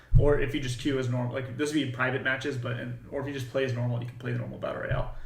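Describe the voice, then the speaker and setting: Amid noticeable background noise and audible room echo, a man rattles along at a very fast pace and a medium pitch with monotone, flat intonation. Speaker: game developer. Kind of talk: livestream devlog update. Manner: casual, many fillers.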